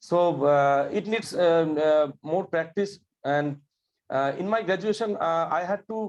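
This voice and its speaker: A high-pitched man with a Bengali accent talks at a fairly slow pace. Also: ordinary pitch variation. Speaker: government employee, course graduate. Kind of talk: interview. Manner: halting, many fillers.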